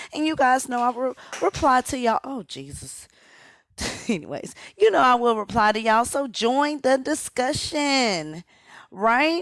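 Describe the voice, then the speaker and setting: On a very clean recording with a silent background, a woman with a high pitch speaks at a fairly slow pace with lively intonation and an animated tone. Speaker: commentary YouTuber. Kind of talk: casual vlog commentary.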